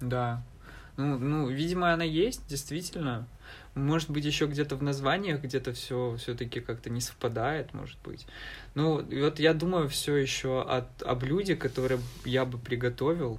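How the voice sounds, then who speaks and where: A somewhat breathy man's voice, fairly high in pitch, with ordinary pitch variation at a moderate pace. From eastern Ukraine, Donbas (Alchevsk). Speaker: university student. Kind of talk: casual interview.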